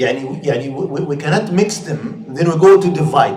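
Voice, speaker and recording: Heard with audible room echo, the speaker talks at a moderate pace in a Saudi accent with ordinary pitch variation. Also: man. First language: Arabic. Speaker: Islamic scholar and teacher. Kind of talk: lecture. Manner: halting, with frequent repetitions and fillers.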